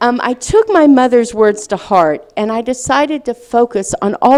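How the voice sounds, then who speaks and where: Speaking at a moderate pace, a woman with a Southern US accent uses lively intonation. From US South, Little Rock, Arkansas. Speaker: speaker, writer. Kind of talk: lecture, personal testimony.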